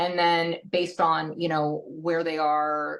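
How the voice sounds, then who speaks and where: A woman's voice sits at a very deep, low pitch, and her intonation stays fairly even. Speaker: personal branding coach. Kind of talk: podcast interview. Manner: fast.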